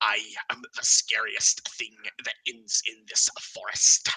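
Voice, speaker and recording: A man whispering in a put-on character voice at a fairly slow pace. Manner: menacing, boastful.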